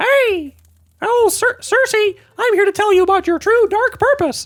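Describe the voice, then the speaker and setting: Here a man puts on a character voice. It is squeaky and pitched extremely high. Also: moderate pace. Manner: cheerful.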